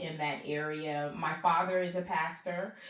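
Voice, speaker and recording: A monotone, flat voice in an American accent, with audible room echo and noticeable background noise. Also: woman. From US South, Charleston, South Carolina. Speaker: pastor and executive. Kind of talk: podcast interview.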